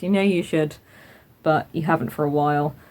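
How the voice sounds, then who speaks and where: The voice belongs to a woman. She talks in a British accent. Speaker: craft podcaster. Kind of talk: casual vlog chat. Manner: fast.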